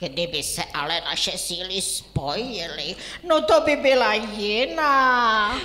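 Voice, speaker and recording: A cartoonish character voice, female-sounding and theatrical, fairly high in pitch. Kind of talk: children's puppet theatre. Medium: puppet show. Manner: theatrical, drawling with filler 'no'.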